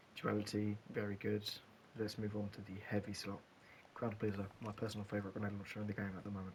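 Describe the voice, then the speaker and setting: Very fast, fairly low-pitched male speech with noticeable background noise. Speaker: gaming content creator. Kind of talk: gameplay tutorial. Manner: halting, some stutters; animated.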